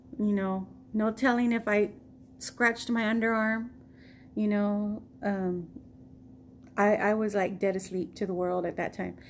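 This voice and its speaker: A woman with an American accent speaks at a fairly slow pace in a flat monotone of medium pitch, leaving long, frequent pauses. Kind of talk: casual storytime talk to camera.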